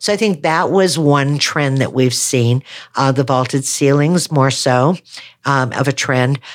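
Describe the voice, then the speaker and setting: A woman with an American accent and a very deep, low voice, at a fairly slow pace with very even loudness and ordinary pitch variation. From Wisconsin, US Midwest. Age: 60s. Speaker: real estate agent. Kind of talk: casual podcast interview.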